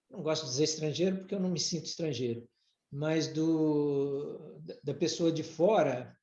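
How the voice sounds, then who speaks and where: Fairly slow speech from a man with a fairly high pitch, heard with audible room echo. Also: ordinary pitch variation. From Brazil. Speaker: former executive and writer. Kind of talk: podcast interview. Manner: halting, many repetitions.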